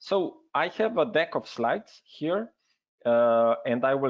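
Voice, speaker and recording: A medium-pitched man with a Slovenian accent and lively intonation. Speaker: health network representative. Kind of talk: webinar presentation. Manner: hesitant, many fillers.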